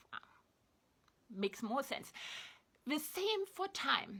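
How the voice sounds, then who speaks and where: A woman speaks with a German accent at a fairly slow pace. Her tone is bright and sharp, and her pitch swings very widely. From East Germany. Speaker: online commentator. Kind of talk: spoken reflection to camera.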